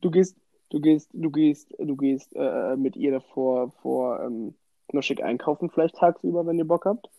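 A man with a fairly high pitch and ordinary pitch variation delivers his words at a fairly slow pace. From western Germany, Bonn. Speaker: podcast co-host. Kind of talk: casual chat. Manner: animated.

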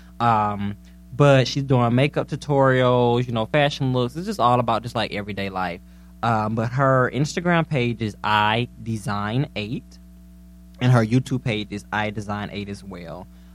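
Background music can be heard. Over it, a male voice proceeds at a moderate pace. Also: medium pitch for a man, ordinary pitch variation. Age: 20s. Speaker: podcast co-host. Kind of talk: casual chat. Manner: animated.

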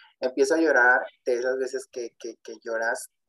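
A man speaks with monotone, flat intonation, recorded dry and close with no echo. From Texas. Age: 20s. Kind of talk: testimony.

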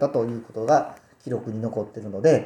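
A man with a Kobe accent speaks with fairly even intonation. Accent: Kansai (Kobe) dialect. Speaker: radio co-host and family tailor shop owner. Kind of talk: casual chat.

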